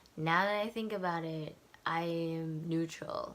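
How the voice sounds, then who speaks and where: Quiet and at a fairly slow pace, a woman speaks with a fairly low pitch and fairly even intonation. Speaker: book vlogger. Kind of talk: casual vlog monologue. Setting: home at night. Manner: quiet, low voice.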